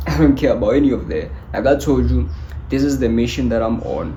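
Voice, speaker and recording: A man with a non-native accent speaks in an animated tone at a very deep, low pitch with very wide pitch swings, over noticeable background noise and audible room echo. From South Africa. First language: not English. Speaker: motivational YouTuber. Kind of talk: motivational talk to camera.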